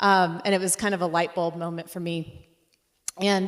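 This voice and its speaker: A woman speaks at a fairly quick pace and a medium pitch. Her intonation stays fairly even. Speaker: interior design professor. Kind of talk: conference talk. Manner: loud; halting, many fillers.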